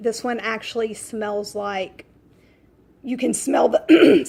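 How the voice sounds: Putting on a character voice, a woman speaks fairly high and fairly slowly, sounding raspy and hoarse.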